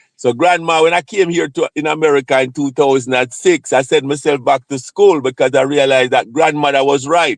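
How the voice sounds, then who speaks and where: Fairly high in pitch, a man speaks with a Jamaican accent at a fairly quick pace. The sound is dry and close with no echo. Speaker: live streamer, psychiatric nurse practitioner. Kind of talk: casual live stream chat. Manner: repetitive, halting.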